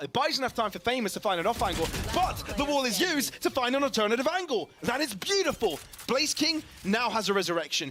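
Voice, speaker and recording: Against noticeable background noise, a man speaks very fast in an animated, high voice whose pitch swings very widely. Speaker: esports caster. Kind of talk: live commentary.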